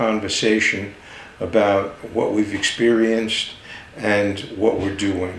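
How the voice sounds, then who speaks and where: Audible room echo and noticeable background noise surround the speaker. A man with a New York accent talks at a very slow pace. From New York area (Manhattan, Long Island). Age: 70s. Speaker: podcast host. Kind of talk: personal monologue. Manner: halting, many fillers.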